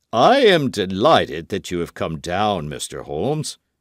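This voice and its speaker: A man puts on a character voice at a fairly low pitch. His pitch swings very widely. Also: moderate pace. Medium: read story. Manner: brisk, formal.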